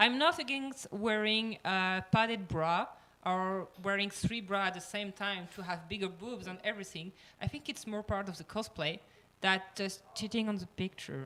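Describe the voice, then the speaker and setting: A woman speaks in a French accent at a moderate pace. Her medium-pitched voice has a bright, sharp tone. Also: ordinary pitch variation. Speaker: cosplayer panelist. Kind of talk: panel discussion. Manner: halting, many fillers.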